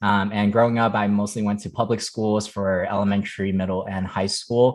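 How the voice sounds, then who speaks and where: Against a quiet background, a man with a General American accent and fairly low pitch talks at a fairly quick pace. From Las Vegas, US. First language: Chinese. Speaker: former teacher, incoming management consultant. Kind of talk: podcast interview. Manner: many fillers (um, uh).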